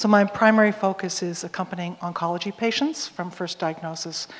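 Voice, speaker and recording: A woman speaks at a fairly quick pace in a normal speaking voice, her fairly low pitch held to fairly even intonation. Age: 60s. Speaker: hospital chaplain. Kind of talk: panel discussion.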